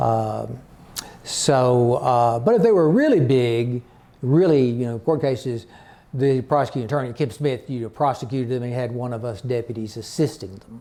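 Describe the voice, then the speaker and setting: On a very clean recording with a silent background, a man with an Arkansas accent speaks at a moderate pace and medium pitch, his tone dark and mellow and his pitch variation ordinary. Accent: Southern US (Arkansas). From Arkansas Delta. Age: 60s. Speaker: retired county attorney. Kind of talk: oral history interview. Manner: halting, many fillers.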